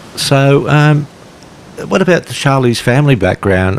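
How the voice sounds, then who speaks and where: Over noticeable background noise, a man speaks at a moderate pace with lively intonation. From western Sydney, Australia. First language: Polish. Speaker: author and teacher. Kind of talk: casual conversation. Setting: outdoors, walking on a beach.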